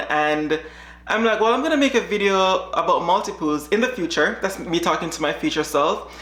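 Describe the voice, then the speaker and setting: A medium-pitched woman's voice with audible room echo. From Jamaica. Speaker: dog breeder. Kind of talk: reaction video chat.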